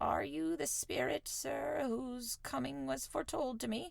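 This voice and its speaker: Putting on a character voice, a woman speaks at a moderate pace in a raspy, very deep, low pitch. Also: very even loudness. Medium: read story.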